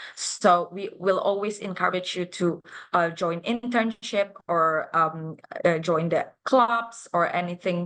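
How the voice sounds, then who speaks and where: At a very slow pace, a woman speaks with an Indonesian accent at a medium pitch and ordinary pitch variation. The background is quiet. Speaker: university international officer. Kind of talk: live interview. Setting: livestream. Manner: hesitant, many fillers.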